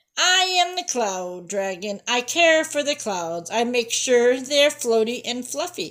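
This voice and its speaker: In a put-on character voice, a woman projects loudly at a high pitch and a fairly slow pace. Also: hardly any pauses. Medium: read story. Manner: sing-song, fussy.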